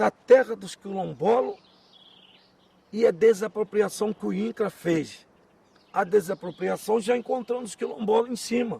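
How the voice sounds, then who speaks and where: A man's high-pitched voice at a fairly slow pace, with ordinary pitch variation, long, frequent pauses, big swings in loudness and a dry, close sound with no echo. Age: 60s. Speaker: quilombola community elder. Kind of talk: oral history interview. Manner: emphatic, repetitive.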